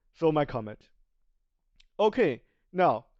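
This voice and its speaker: The speaker has a non-native accent and talks at a fairly slow pace. The background is quiet. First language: Chinese. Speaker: video game streamer. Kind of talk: tutorial. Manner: halting, many self-corrections.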